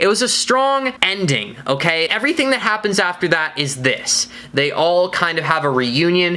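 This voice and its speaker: Over noticeable background noise, a woman speaks at a fairly low pitch and a moderate pace with an animated tone, very wide pitch swings, very even loudness and hardly any pauses. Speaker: TV show reviewer. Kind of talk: video review.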